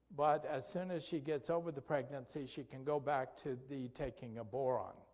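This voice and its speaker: Speaking at a moderate pace in an unremarkable speaking voice, a man with fairly high pitch shows ordinary pitch variation. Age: 60s. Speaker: physician lecturing on health. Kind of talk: health lecture. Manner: conversational, with frequent fillers and restarts.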